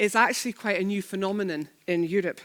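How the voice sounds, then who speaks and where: A woman with a Scottish accent, medium in pitch, at a moderate pace. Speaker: head of a church-based charity network. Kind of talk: conference keynote talk. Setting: stage with audience and sign language interpreters.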